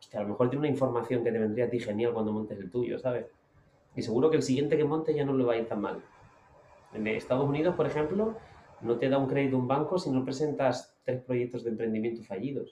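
Very fast delivery with ordinary pitch variation. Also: man, medium pitch for a man. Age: 30s. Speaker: motivational speaker. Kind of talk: interview. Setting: outdoors on a beach. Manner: calm.

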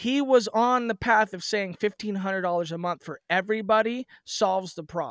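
A man with an American accent talks at a moderate pace in a high pitch, with ordinary pitch variation, big swings in loudness and hardly any pauses. The sound is dry and close with no echo. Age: 30s. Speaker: wrestling promoter. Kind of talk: casual chat. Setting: remote call.

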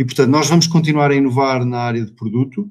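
This man talks at a very fast pace. He keeps his intonation fairly even. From Portugal, Vila Real (Trás-os-Montes). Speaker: family winery owner and IT manager. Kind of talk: casual interview.

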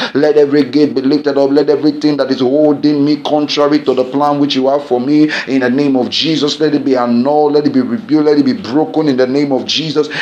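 A man with a Nigerian accent and a fairly high pitch, intense in tone, very fast with hardly any pauses, monotone and flat in intonation, very even in loudness, over noticeable background noise. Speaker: pastor leading prayer. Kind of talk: fervent group prayer led live, imploring and declaring. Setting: online broadcast prayer for people at home. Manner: intense, urgent and exhorting, rising with passion; commanding, repetitive, preacher-like cadence.

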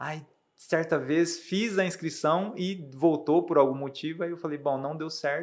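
This man has an unremarkable speaking voice, fairly high in pitch, with fairly even intonation. He talks at a fairly slow pace in a very clean recording with a silent background. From Brazil, Rondônia (Ariquemes), raised partly in Mato Grosso do Sul. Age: young. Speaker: math teacher and behavioral coach. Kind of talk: interview.

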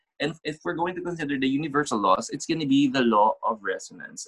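A man speaks at a fairly high pitch with lively intonation, in an unremarkable speaking voice. The sound is dry and close, with no echo. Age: 30s. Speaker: podcast host, reiki master. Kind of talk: casual chat.

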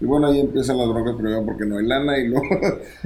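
Audible room echo follows a man as he talks. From Monterrey, northeastern Mexico. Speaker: musician. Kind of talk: casual chat.

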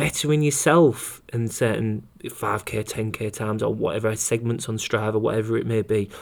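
A man speaks in a British accent. His pitch sits in the medium range with ordinary variation. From UK. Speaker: running coach and podcast host. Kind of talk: solo podcast monologue. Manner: fast.

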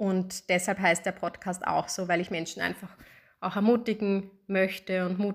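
At a fairly slow pace, a woman speaks at medium pitch with monotone, flat intonation on a very clean recording with a silent background. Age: 30s. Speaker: podcast host, psychologist. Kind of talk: solo podcast introduction. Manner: casual with frequent fillers.

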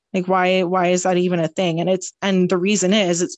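With a Canadian accent, a woman has a normal speaking voice of medium pitch and keeps a moderate pace. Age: 20s. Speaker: podcast co-host. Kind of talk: casual chat.

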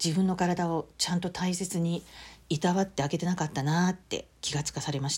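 Over a silent background on a very clean recording, a woman speaks in a somewhat breathy voice with monotone, flat intonation. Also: fairly low pitch for a woman, fairly quick pace. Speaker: podcast host. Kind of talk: solo diary-style podcast monologue.

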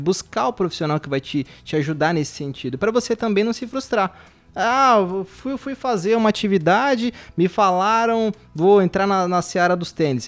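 Lively intonation from a man with a high pitch, at a moderate pace. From Brazil. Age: 30s. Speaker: physiotherapist. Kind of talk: casual podcast chat.

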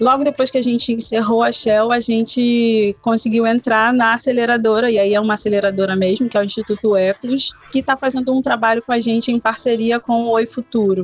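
A woman talks with monotone, flat intonation and hardly any pauses. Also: fairly high pitch for a woman, fairly quick pace, very even loudness. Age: 30s. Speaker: entrepreneur and educator. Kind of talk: podcast interview. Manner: hesitant, repeats words.

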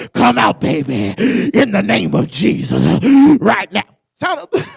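A man's put-on character voice, medium in pitch and fairly slow in pace. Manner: fervent preaching.

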